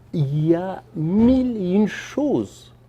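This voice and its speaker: Very wide pitch swings and a dark, mellow tone from a man with a Persian accent. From Afghanistan. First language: Persian (speaking French). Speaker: novelist and filmmaker. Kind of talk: interview. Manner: halting, with repetitions.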